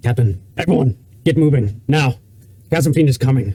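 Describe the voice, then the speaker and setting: Putting on a character voice, a man speaks at medium pitch. His intonation is lively and his pace moderate. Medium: actual play. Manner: curt, commanding.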